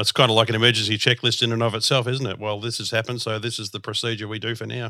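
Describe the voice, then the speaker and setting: A man with an Australian accent talks very fast in a monotone, flat delivery at medium pitch, his tone bright and sharp. The recording is very clean, with a silent background. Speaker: podcast host. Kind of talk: podcast interview; scripted announcement.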